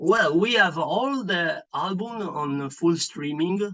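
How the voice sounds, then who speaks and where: A man talks at a very slow pace with a high pitch. His tone is bright and sharp, his intonation lively. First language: Italian. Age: 40s. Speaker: metal band bassist. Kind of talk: interview. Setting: online call. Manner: halting, many fillers.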